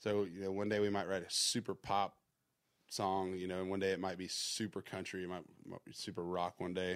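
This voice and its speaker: In a Southern US accent, a man with a very deep, low voice speaks at a fairly quick pace in a monotone, flat delivery, recorded very cleanly over a silent background. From US South, Georgia. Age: 30s. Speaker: music producer and songwriter. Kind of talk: casual interview chat.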